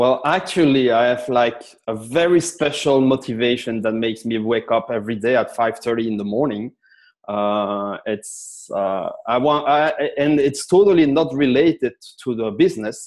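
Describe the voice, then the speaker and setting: Here is a man with a normal speaking voice. He holds a medium pitch and a moderate pace. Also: ordinary pitch variation. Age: 40s. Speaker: sales expert. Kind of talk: interview.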